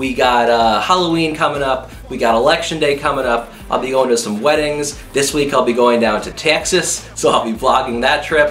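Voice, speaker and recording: Audible room echo and light background noise accompany a man speaking at a fairly quick pace with ordinary pitch variation. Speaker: youtube vlogger. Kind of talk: casual vlog chat. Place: home room.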